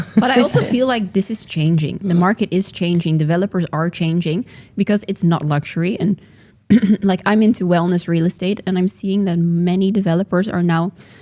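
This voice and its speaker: Talking at a fairly quick pace with a Dutch accent, a woman has a medium pitch, ordinary pitch variation and a dark, mellow tone. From Netherlands. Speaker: podcast co-host, real estate agent. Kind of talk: casual chat.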